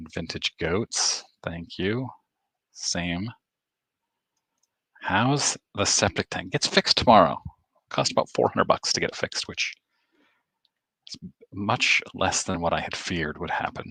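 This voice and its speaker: A man with an American accent speaks quietly in a fairly low, bright and sharp voice with lively intonation. His pace is fairly slow with long, frequent pauses, and the sound is dry and close with no echo. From Maine, US. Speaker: sports card YouTuber. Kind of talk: livestream chat reading comments. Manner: quiet, keeping voice down.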